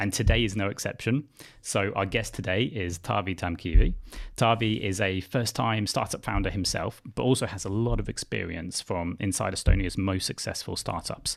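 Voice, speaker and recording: Fairly low pitch from a man, ordinary pitch variation, on a very clean recording with a silent background. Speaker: podcast host. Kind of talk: interview podcast. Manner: fast.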